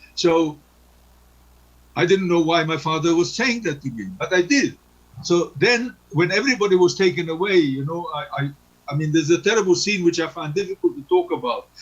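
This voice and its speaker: A man's high voice with ordinary pitch variation. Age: 80s+. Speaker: Holocaust survivor. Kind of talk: testimony. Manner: halting.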